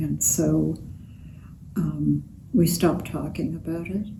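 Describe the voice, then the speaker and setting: A woman speaks very slowly, her voice carrying audible room echo. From Romania. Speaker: Holocaust survivor. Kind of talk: interview testimony. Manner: halting.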